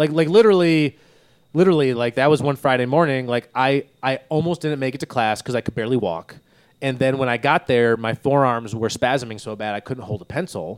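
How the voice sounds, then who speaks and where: A man with an American accent has an unremarkable speaking voice at a medium pitch, with ordinary pitch variation and a fairly quick pace. The recording is very clean, with a silent background and a dry, close sound with no echo. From northern Michigan. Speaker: podcast host. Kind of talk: casual chat. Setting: studio.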